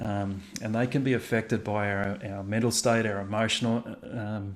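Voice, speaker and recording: This man has a fairly low pitch and an Australian accent. He keeps a moderate pace in a monotone, flat intonation. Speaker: pastor. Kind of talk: livestream chat. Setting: video livestream. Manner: hesitant, many fillers.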